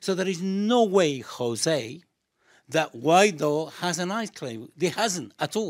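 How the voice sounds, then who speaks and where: A man speaks at a very slow pace with a high pitch and lively intonation. The recording is very clean with a silent background. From Chile. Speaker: solidarity campaign activist. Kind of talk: studio debate.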